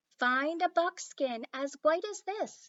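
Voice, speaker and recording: Using a put-on character voice, a woman speaks squeaky and extremely high with a gentle tone at a fairly slow pace. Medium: read story. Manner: soft, gentle.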